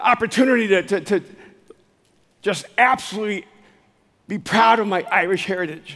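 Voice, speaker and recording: The pace is fairly quick, broken up by long, frequent pauses. Pitch varies in an ordinary way. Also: man. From El Salvador. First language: Spanish. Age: 60s. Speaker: speaker and author. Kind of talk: motivational keynote talk. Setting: live stage.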